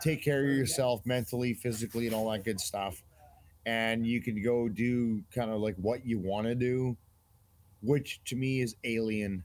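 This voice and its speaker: In a plain, everyday voice, a man speaks at a medium pitch and a moderate pace with fairly even intonation. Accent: Canadian. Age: 50s. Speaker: army veteran. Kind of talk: casual interview.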